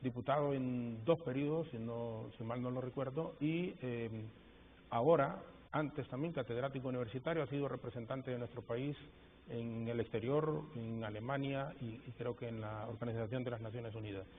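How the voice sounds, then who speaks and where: A man with an unremarkable speaking voice talks at a moderate pace, his pitch medium and his intonation fairly even. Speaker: TV interviewer. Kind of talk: TV interview.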